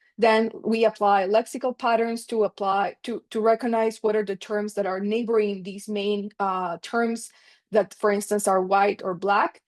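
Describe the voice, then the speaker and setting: A woman with a normal speaking voice and medium pitch talks at a moderate pace with hardly any pauses. The background is quiet and the sound is dry and close, with no echo. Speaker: economics researcher presenting a paper. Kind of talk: conference paper presentation.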